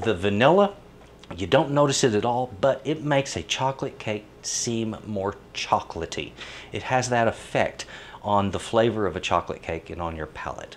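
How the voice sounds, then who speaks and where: A man speaks at a moderate pace with lively intonation. Light background noise can be heard. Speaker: home cooking show host. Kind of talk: tutorial. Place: kitchen.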